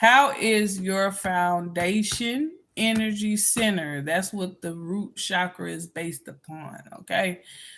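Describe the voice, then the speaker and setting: A woman at medium pitch speaking very slowly, with ordinary pitch variation and big swings in loudness. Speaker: spiritual healer. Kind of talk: reading aloud with commentary. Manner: halting, many fillers.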